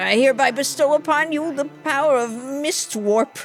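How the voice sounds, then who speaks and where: A female-sounding put-on character voice, high in pitch, at a moderate pace with faint music in the background. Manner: slurred, playful.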